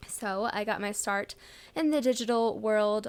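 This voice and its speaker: At a moderate pace, a woman with an American accent talks in a fairly high pitch with ordinary pitch variation, on a very clean recording with a silent background. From US Midwest, St. Louis, Missouri. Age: 20s. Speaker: podcaster and vlogger. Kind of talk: casual monologue. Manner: laid-back.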